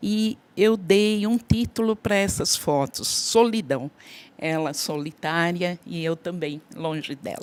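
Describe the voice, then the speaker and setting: The woman's intonation is lively and her pitch fairly low. She speaks at a very slow pace. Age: 60s. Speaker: workshop participant. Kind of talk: personal testimony.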